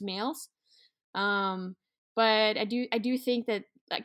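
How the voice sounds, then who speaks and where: A woman with a Norwegian accent and fairly even intonation, in a very clean recording with a silent background. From Norway. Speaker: sled dog musher and outdoors content producer. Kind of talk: casual interview conversation.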